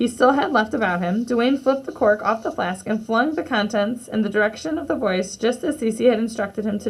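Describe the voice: Plain reading aloud is what you hear. Its pitch variation is ordinary.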